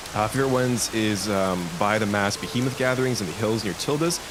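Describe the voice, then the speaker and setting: Speech with ordinary pitch variation, audible room echo and noticeable background noise. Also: man. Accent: Canadian. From Canada. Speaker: gaming streamer. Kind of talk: live stream chat. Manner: animated.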